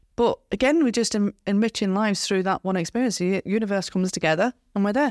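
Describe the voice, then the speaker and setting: Delivered at a very fast pace with ordinary pitch variation, the voice has a dry, close sound with no echo on a very clean recording with a silent background. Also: woman. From West Yorkshire, Skipton. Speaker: flooring business consultant and co-host. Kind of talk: casual chat. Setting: studio. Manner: giggly.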